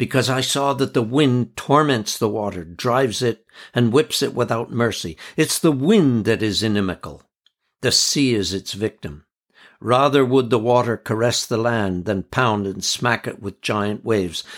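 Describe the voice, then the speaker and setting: Speaking at a moderate pace, a man uses a normal speaking voice with a medium pitch and ordinary pitch variation. The recording is very clean with a silent background. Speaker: audiobook narrator and editor. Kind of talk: literary audiobook reading of first-person travel memoir, measured and evocative.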